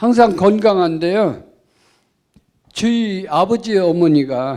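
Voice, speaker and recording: On a very clean recording with a silent background, a man with a high, dark and mellow voice talks very slowly with lively intonation. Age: 70s. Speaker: audience member. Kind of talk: audience question.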